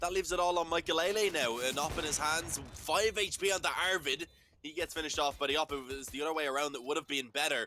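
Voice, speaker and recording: With an Irish accent, a man talks at a fairly quick pace and a fairly high pitch. His tone is bright and sharp, his intonation lively. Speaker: esports caster. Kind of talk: live commentary. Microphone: mic sounding bad.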